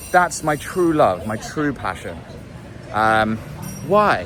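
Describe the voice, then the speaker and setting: Swinging very widely in pitch, a man with a British accent speaks in a fairly high voice over noticeable background noise. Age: 30s. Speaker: musician and vlogger. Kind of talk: video diary monologue. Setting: outdoors in a city street. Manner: casual, meandering with fillers.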